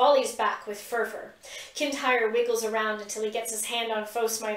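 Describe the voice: Someone does plain reading aloud. Their pitch shifts in an ordinary way.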